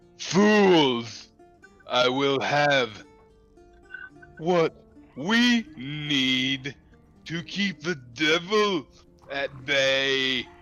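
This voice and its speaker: Putting on a booming character voice at a fairly high pitch, a man talks very slowly with lively intonation as faint music plays in the background. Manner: booming, enraged.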